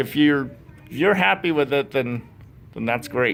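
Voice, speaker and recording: A man at a moderate pace with lively intonation, music playing in the background. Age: 40s. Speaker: YouTuber and convention panel member. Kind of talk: convention panel talk. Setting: convention panel with audience. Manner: halting.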